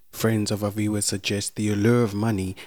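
The recording is very clean, with a silent background. The speaker has an unremarkable speaking voice and a moderate pace. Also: man. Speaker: podcast narrator. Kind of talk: true-crime narration. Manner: solemn, measured, formal storytelling delivery; scripted, even-paced and sombre.

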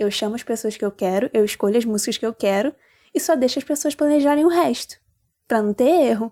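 A dark, mellow voice with lively intonation comes through a dry, close recording with no echo, very clean and with a silent background. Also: woman. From Rio de Janeiro, Brazil. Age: 20s. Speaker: listener contributor. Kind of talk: personal anecdote. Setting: recorded voice message.

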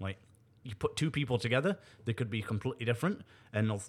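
On a very clean recording with a silent background, a man speaks at a very fast pace. His pitch is medium, with ordinary variation. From Nottingham, England, then Canada from age 13. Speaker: stand-up comedian and radio host. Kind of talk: casual interview chat.

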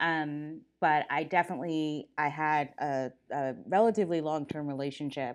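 In an American accent, a woman with very deep, low pitch speaks at a moderate pace on a very clean recording with a silent background. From US Mid-Atlantic, Silver Spring, Maryland. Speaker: law professor and dean. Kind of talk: interview conversation.

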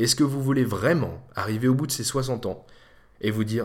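Using an ordinary speaking voice, a man talks at a fairly quick pace. His pitch is medium, with ordinary pitch variation. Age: 20s. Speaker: podcast host. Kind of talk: solo monologue. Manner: casual.

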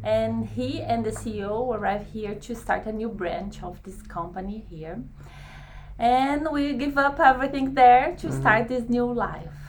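Over noticeable background noise, a woman with a Brazilian accent speaks with big swings in loudness. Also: fairly slow pace. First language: Portuguese. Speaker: English language learner. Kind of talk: casual interview. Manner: halting.

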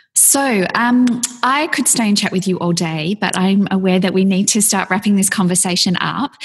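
With noticeable background noise behind her, a woman in an Australian accent speaks at a moderate pace and medium pitch, keeping very even loudness and ordinary pitch variation. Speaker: podcast host. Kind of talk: interview.

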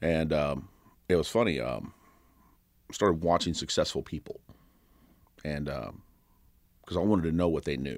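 In an American accent, a man speaks with a very deep, low pitch, vocal fry and ordinary pitch variation. His moderate pace is broken by long, frequent pauses. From Kentucky. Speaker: personal trainer and gym owner. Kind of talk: interview. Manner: loud; energetic.

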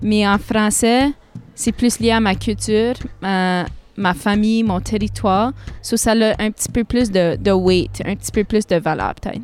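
In a strong northern Ontario accent, a woman speaks at a fairly slow pace. Her medium pitch holds fairly even intonation. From Sudbury, northern Ontario. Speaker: singer-songwriter. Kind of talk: interview.

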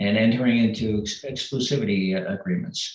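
Moderately paced speech from a man, pitched fairly low, with normal rise and fall in tone. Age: 50s. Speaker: retired navy officer and aspiring business owner. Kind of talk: advice call. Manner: hesitant, many fillers.

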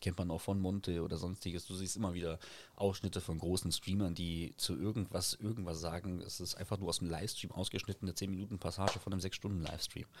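A man speaks at a very fast pace in a very deep, low voice with fairly even intonation. The recording is very clean, with a silent background. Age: 30s. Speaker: TikToker and streamer. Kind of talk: casual chat.

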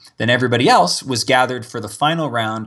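An ordinary speaking voice at a fairly quick pace over a quiet background. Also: man. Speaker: game show winner. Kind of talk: casual interview.

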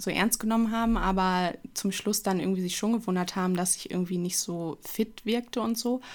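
Heard in a very clean recording with a silent background, a woman talks at medium pitch in a monotone, flat way. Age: 20s. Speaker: model and media designer. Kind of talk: casual interview. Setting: studio office, two mics.

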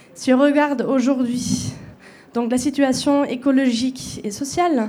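Against noticeable background noise, a woman with a high-pitched voice talks at a fairly slow pace with fairly even intonation. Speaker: panel moderator. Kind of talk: panel moderation. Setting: stage with audience. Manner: halting.

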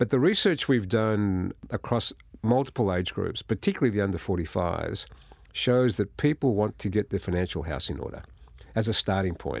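Over a quiet background, a man with an Australian accent and fairly low pitch talks at a fairly quick pace with ordinary pitch variation. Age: 60s. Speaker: financial services executive. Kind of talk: interview.

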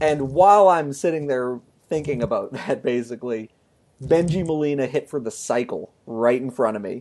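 This man talks at a moderate pace in a normal speaking voice. His pitch sits fairly high, with ordinary variation. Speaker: sports writer podcast co-host. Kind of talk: casual chat.

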